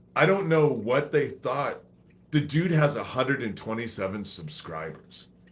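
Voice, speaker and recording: A man's fairly high, fairly slow voice with vocal fry, very wide pitch swings and long, frequent pauses. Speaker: conspiracy livestreamer. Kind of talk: livestream monologue. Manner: slow cadence.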